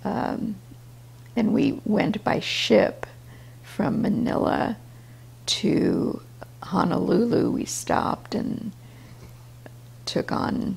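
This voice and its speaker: Speech at a very slow pace, broken by long, frequent pauses, comes through over noticeable background noise. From China, Russian descent. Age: 70s. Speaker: grandmother. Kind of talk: interview answer.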